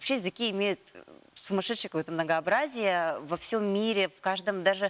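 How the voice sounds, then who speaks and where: This woman speaks at a very fast pace with a medium pitch. Her pitch variation is ordinary, and the sound is dry and close with no echo. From Yakutia. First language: Yakut (speaking Russian). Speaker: morning TV host. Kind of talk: TV interview.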